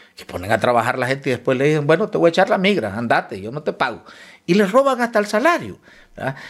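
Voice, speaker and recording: This voice has vocal fry and moves at a very fast pace, with very wide pitch swings and big swings in loudness. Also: man, fairly high pitch for a man. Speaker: politician. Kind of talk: interview.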